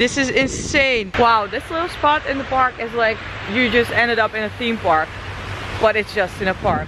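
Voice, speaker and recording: Lively intonation at a moderate pace comes through a dry sound with no echo, with noticeable background noise. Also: woman. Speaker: travel vlogger. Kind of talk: casual vlog chat. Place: street. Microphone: phone near.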